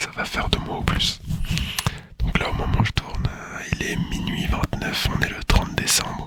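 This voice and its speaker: A man whispers fairly slowly, and noticeable background noise can be heard. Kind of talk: casual talk to camera. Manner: whispered, soft.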